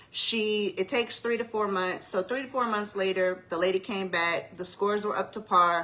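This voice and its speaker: A woman with an American accent at medium pitch, moderate pace and fairly even intonation, hardly any pauses, over noticeable background noise. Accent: Savannah Geechee-tinged Southern. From US South, Savannah, Georgia. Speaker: mortgage loan officer. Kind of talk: casual livestream explainer. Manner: conversational, casual.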